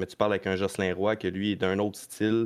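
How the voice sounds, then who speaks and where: A man's voice in a monotone, flat intonation against a quiet background. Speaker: stock car racing driver. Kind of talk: casual chat.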